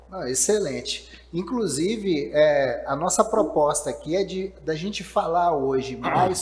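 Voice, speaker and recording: A high-pitched man with lively intonation at a fairly slow pace, noticeable background noise behind him. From Minas Gerais, Brazil. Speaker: podcast host. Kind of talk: live-streamed interview podcast. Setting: live stream.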